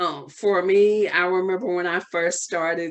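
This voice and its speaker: A woman's fairly low-pitched, fairly slow voice with a Southern US accent. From US South. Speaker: holistic wellness coach. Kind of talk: podcast interview. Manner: casual, hesitant with fillers.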